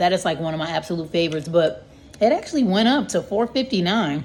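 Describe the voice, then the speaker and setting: A woman puts on a raspy character voice at a medium pitch. She sounds enthusiastic and speaks at a very fast pace. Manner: casual, enthusiastic.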